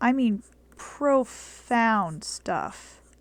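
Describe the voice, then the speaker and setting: A soft-spoken woman talks at a fairly high pitch. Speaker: art tutorial youtuber. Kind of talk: tutorial. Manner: casual.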